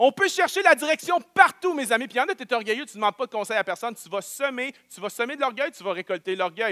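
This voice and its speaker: In a Quebec accent, a man with an extremely high voice talks at a very fast pace, raised and projected. His pitch swings very widely and his loudness jumps a lot, all in a dry, close sound with no echo. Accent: Québécois French. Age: 30s. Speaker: pastor. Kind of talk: sermon. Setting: church.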